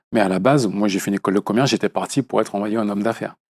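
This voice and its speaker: Recorded very cleanly against a silent background with a dry, close sound and no echo, a man with a Martinican accent and a fairly low voice speaks at a very fast pace. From Martinique. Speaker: actor. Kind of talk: interview. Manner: hesitant, many fillers.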